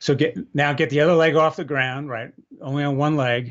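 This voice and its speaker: A man's normal speaking voice, fairly high in pitch, at a moderate pace. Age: 60s. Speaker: product founder and balance trainer. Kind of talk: podcast interview.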